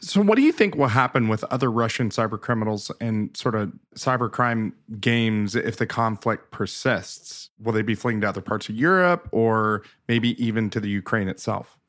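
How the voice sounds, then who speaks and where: At a moderate pace, a man with a medium pitch and ordinary pitch variation speaks in an unremarkable speaking voice, captured in a very clean recording with a silent background. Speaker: podcast host. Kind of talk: podcast interview.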